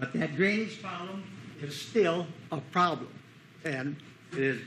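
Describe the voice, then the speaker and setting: Over noticeable background noise and audible room echo, a man speaks in a raised, projected voice with lively intonation. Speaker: resident speaking at public comment. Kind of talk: public comment at council meeting. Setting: city council meeting room. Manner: loud.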